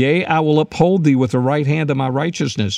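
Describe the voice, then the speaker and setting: A plain, everyday voice from a man, fairly high-pitched, with ordinary pitch variation. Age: 60s. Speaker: podcast host and former pastor. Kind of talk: podcast teaching talk. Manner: frequent filler words.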